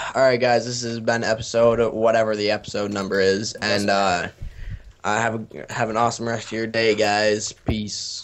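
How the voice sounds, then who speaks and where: With noticeable background noise, a man with an American accent speaks at a moderate pace and medium pitch in a monotone, flat intonation. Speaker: gamer. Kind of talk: gameplay commentary.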